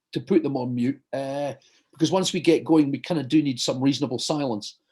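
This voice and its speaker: A man with a Glasgow accent, dark, mellow tone and fairly high pitch, at a moderate pace with ordinary pitch variation. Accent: Scottish (Glasgow). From Scotland, Glasgow. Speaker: surgeon and hypnotherapist. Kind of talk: talk before guided hypnosis session. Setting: video call.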